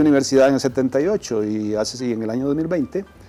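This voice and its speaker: Music plays in the background as a fairly high-pitched man talks with very wide pitch swings. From Costa Rica, Central Valley. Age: 60s. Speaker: retired journalist. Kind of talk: interview conversation. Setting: restaurant.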